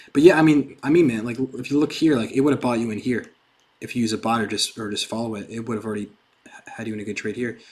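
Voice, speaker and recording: Speaking at a very fast pace yet with long, frequent pauses, a man with an American accent has a medium pitch and ordinary pitch variation. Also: big swings in loudness. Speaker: crypto trading streamer. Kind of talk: live stream tutorial and Q&A. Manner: casual.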